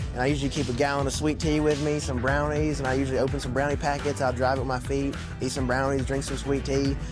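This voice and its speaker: Music plays in the background behind a man with a Southern US accent. He speaks at a very fast pace. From Tennessee. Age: young. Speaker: car owner. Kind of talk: interview answer. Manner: casual, polite.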